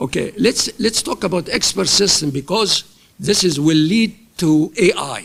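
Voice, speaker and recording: Speaking fairly slowly, a man with a high voice uses lively intonation. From Egypt. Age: 80s+. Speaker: professor. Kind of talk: lecture. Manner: halting.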